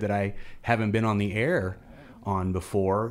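At a moderate pace, a man with an American accent speaks in a fairly low pitch. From central Missouri, US Midwest. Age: 40s. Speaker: radio station executive director. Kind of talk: casual radio interview. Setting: radio studio.

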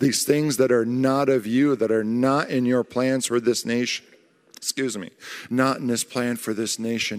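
In a very clean recording with a silent background, a man with a plain, everyday voice speaks at a moderate pace and medium pitch. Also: fairly even intonation. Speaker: church member. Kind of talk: prophetic prayer with tongues. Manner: urgent, pleading declarations.

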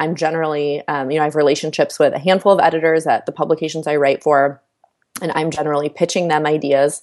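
In a monotone, flat intonation, a woman talks at a very fast pace with a very deep, low pitch. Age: 30s. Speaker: writer. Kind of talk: casual chat.

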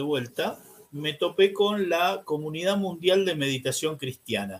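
A man with an ordinary speaking voice keeps a moderate pace, his intonation lively throughout. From Argentina, Buenos Aires. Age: 60s. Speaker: priest. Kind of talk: interview.

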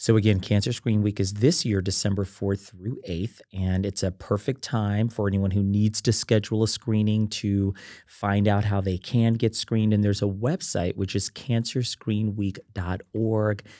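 Recorded very cleanly with a silent background and a dry, close sound with no echo, a man speaks at a moderate pace in a fairly low, dark and mellow voice with monotone, flat intonation and hardly any pauses. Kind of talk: casual interview chat.

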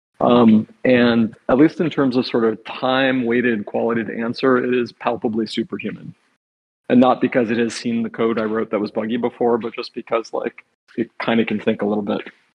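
Fairly even intonation and a fairly quick pace mark an ordinary speaking voice. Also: man, medium pitch for a man. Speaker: software engineer. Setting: live show on stage with audio.

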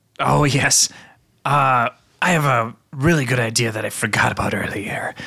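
Doing a put-on character voice, a man with a medium pitch sounds raspy, speaking at a moderate pace with ordinary pitch variation. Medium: actual play. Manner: theatrical, playful.

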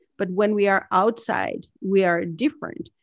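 A woman speaks at a very slow pace. The sound is dry and close with no echo, and the background is quiet. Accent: Italian. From Northern Italy. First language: Italian. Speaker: leadership coach and author. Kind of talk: interview.

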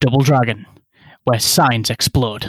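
Putting on a raspy character voice, a man talks at a fairly slow pace and a medium pitch. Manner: dramatic.

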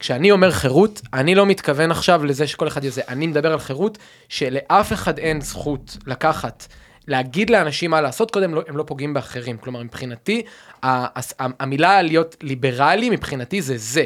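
A man speaks in an unremarkable speaking voice with lively intonation at a moderate pace. The recording is very clean and the background silent. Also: fairly high pitch for a man. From Israel, Rehovot (central Israel). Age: 30s. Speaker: civic dialogue initiative founder. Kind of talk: conversational dialogue.

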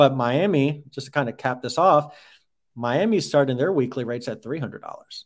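With an ordinary speaking voice, a man of medium pitch talks at a fairly quick pace on a very clean, silent-background recording. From New York. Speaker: real estate account executive. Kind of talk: interview.

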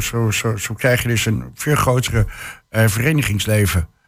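A man talks at a medium pitch. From Hengelo, Twente. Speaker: social entrepreneur. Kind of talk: radio panel discussion. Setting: studio. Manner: halting, many fillers.

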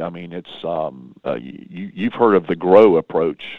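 A man with a Southern US accent speaks in a passionate tone at a moderate pace, his intonation lively. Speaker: pastor. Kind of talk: interview. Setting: phone call.

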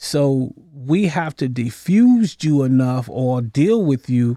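A man with an American accent speaks at a very slow pace. His dark, mellow tone sits at a medium pitch, with ordinary pitch variation. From Norfolk, Virginia. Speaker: retired Navy veteran and former jailer. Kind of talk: interview.

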